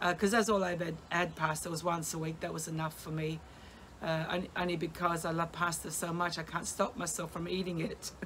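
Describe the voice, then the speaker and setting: In an Australian accent, a woman speaks fairly quickly in a fairly low, monotone voice with flat intonation over light background noise. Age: 60s. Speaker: vlogger documenting weight loss. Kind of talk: casual vlog monologue. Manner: halting, with many fillers. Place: garden. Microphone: phone near.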